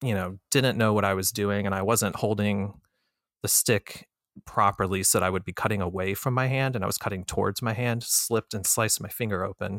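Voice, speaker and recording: In a very clean recording with a silent background and a dry, close sound with no echo, a man with an American accent and a normal speaking voice talks at a moderate pace, fairly low in pitch with fairly even intonation. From Florida. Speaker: knife designer. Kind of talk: casual chat.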